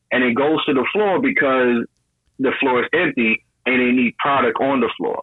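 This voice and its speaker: This man has an ordinary speaking voice at medium pitch. He talks at a fairly quick pace with ordinary pitch variation. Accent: American. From New York. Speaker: caller, business owner. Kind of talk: casual call-in chat.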